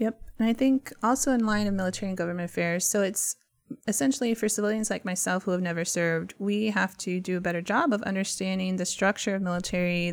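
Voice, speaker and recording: A woman's unremarkable speaking voice, medium in pitch, at a fairly quick pace with ordinary pitch variation, on a very clean recording with a silent background. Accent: American. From Texas, San Antonio. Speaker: cybersecurity nonprofit deputy director. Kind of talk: radio interview.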